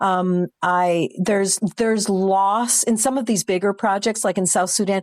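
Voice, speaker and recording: An ordinary speaking voice comes at a fairly slow pace with hardly any pauses, ordinary pitch variation and very even loudness. The recording is very clean with a silent background, and the sound is dry and close with no echo. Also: woman, medium pitch for a woman. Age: 60s. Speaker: midwife. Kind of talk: casual chat.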